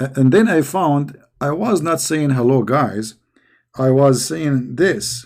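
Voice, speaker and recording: The pace is very slow, with an Arabic accent and lively intonation. The recording is very clean, with a silent background. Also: man, fairly high pitch for a man. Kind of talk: casual live chat. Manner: halting, repetitive.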